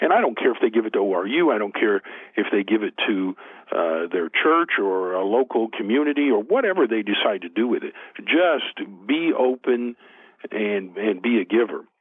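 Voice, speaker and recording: Speaking at a moderate pace, a man with a medium pitch uses lively intonation. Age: 60s. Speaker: author and motivational speaker. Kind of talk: interview.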